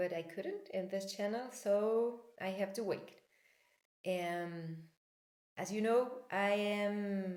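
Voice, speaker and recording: Pacing is very slow as a woman speaks in a Spanish accent. Her intonation stays fairly even. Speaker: personal development coach. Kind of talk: talk to camera, spiritual teaching. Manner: halting, many fillers.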